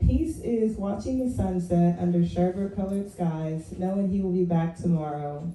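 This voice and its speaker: A woman with an American accent speaks at a fairly slow pace in a fairly low pitch, her intonation fairly even, with audible echo from the room. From West Virginia. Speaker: poet. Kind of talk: poetry reading. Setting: open mic stage with audience. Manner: low, quiet voice.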